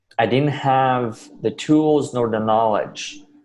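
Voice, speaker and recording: Speaking in a Russian accent, a man talks at a fairly slow pace with ordinary pitch variation. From Russia, then US from age 12. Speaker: motivational speaker. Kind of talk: interview.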